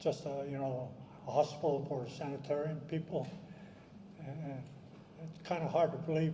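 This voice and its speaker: Over noticeable background noise and audible room echo, a man with a fairly high voice speaks at a moderate pace in an American accent with monotone, flat intonation. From southern California. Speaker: wartime evacuee recounting family history. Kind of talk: testimony. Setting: reunion gathering with audience. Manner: halting.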